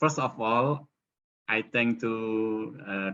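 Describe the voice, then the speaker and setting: The voice has a bright, sharp tone and speaks with an Indonesian accent. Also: man. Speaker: professor, arts researcher. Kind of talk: conference presentation. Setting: webinar video call. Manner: halting, many fillers.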